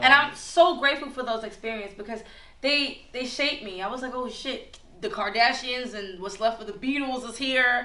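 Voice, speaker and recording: Over noticeable background noise and audible room echo, a woman with a high pitch speaks at a moderate pace, her pitch varying in an ordinary way while her loudness swings widely. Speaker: artist and former fashion model. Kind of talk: casual podcast chat.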